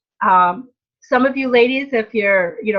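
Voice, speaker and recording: Moderate pace and fairly high pitch in a woman's plain, everyday voice. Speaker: direct sales team leader. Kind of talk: training webinar.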